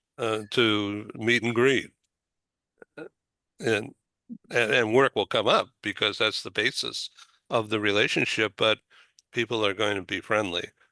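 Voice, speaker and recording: With a Boston accent, a man speaks at a medium pitch and a fairly slow pace, his tone bright and sharp and his intonation fairly even, in a dry, close recording with no echo and a quiet background. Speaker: talk show host. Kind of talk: interview. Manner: halting.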